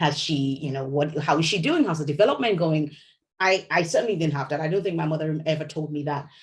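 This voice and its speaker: A woman with a very deep, low voice that is somewhat breathy speaks very fast with fairly even intonation. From Nigeria, Lagos. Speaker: novelist. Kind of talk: interview. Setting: video call.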